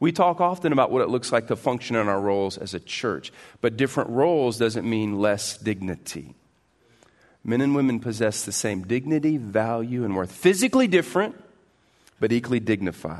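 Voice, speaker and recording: A man speaks in an unremarkable speaking voice at medium pitch, moving at a fairly quick pace with lively intonation against a quiet background. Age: 40s. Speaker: pastor. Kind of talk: sermon. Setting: church.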